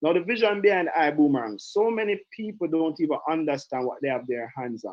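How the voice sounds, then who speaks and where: A man with a Jamaican accent talks at a fairly quick pace in a fairly high voice, his pitch swinging very widely. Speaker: direct sales trainer. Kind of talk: online training call. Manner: animated.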